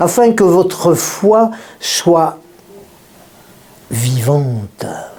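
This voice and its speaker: A high-pitched man at a very slow pace with very wide pitch swings, amid noticeable background noise and audible room echo. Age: 70s. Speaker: pastor. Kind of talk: sermon. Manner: animated.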